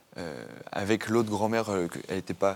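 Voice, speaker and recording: A fairly low-pitched man at a moderate pace with ordinary pitch variation. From Normandy, France. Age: 20s. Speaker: author. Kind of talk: interview testimony. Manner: halting, many fillers.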